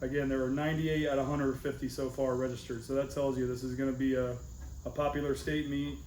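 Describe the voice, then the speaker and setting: A man talks at a very fast pace with a fairly high pitch and a monotone, flat intonation. Audible room echo surrounds his voice. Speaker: powerlifting coach. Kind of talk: team meeting.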